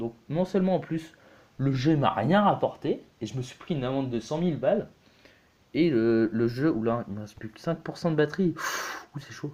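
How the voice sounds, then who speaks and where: Male speech at a medium tempo, loudness rising and falling sharply. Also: fairly high pitch for a man. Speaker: gaming youtuber. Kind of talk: let's play commentary. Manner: hesitant, many fillers.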